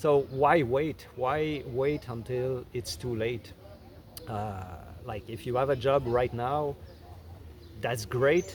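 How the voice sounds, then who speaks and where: Speaking very slowly at a medium pitch, a man shows ordinary pitch variation. He leaves long, frequent pauses. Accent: Quebec. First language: French. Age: 50s. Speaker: content creator. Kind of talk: casual talk to camera. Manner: halting, many fillers and restarts.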